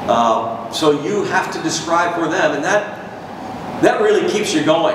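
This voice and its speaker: Over noticeable background noise and audible room echo, a man speaks at a very slow pace. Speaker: baseball radio broadcaster. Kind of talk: guest talk to a university audience about his career. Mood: warm, reflective. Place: hall.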